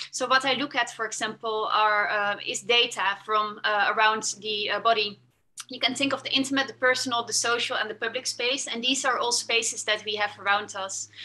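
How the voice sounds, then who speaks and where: A woman with a Dutch accent, fairly high in pitch, with a bright, sharp tone, fairly even intonation and a fairly quick pace. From Netherlands. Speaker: fashion tech designer. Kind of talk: presentation. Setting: video call. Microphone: video call.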